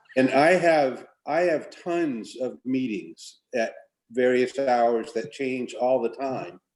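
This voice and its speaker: Speaking at a medium pitch, a man goes at a very slow pace. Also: ordinary pitch variation. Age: 60s. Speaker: school board member. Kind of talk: committee meeting discussion.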